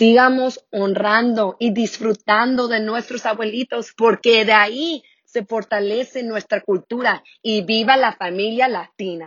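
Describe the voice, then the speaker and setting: A woman's fairly high voice at a fairly slow pace, with fairly even intonation and a normal speaking voice. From US, San Diego, California, Mexican parents. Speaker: community worker. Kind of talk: recorded testimony.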